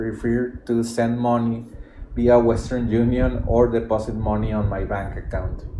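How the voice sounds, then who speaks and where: Over noticeable background noise and audible room echo, a man with a Spanish accent speaks at a moderate pace. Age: 30s. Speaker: podcast host, digital entrepreneur. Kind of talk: reading aloud a written thread with commentary. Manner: halting, repeats words.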